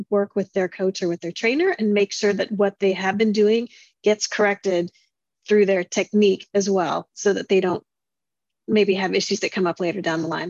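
A woman's unremarkable speaking voice at medium pitch and a fairly quick pace, dry and close with no echo, against a quiet background. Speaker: podcast co-host. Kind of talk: interview.

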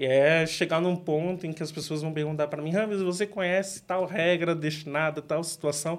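A man with a São Paulo accent talks at a fairly quick pace with hardly any pauses, fairly high pitch, and fairly even intonation. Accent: Paulistano Brazilian Portuguese. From São Paulo, Grajaú. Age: 20s. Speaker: product manager and martial artist. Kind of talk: interview.

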